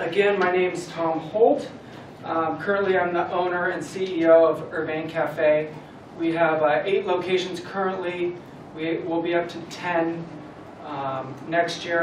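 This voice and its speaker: A man speaks at a high pitch and a fairly slow pace, with fairly even intonation. Light background noise and audible room echo are present. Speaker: guest. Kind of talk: motivational talk. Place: classroom. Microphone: camera far.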